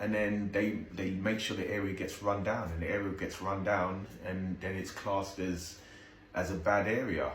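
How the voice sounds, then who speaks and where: A monotone, flat delivery comes with audible room echo and noticeable background noise. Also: man, fairly low pitch for a man, moderate pace. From South East London. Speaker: video commentator. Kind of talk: reaction commentary. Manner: halting, repetitive.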